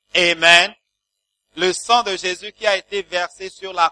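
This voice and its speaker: A man talks at a very slow pace in a high pitch. His bright, sharp tone comes through dry and close with no echo. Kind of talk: sermon with blessing and prayer. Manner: fervent, animated, exclamatory preaching; call-and-response with the congregation.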